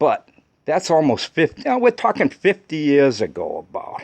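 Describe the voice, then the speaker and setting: Against a quiet background, a man talks at a moderate pace with lively intonation. It is a plain, everyday voice, with a dry, close sound with no echo. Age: 60s. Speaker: DIY car repair video maker. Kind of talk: tutorial. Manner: casual, conversational.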